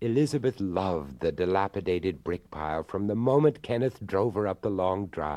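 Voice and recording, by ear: Text is read aloud here. It comes in a natural voice.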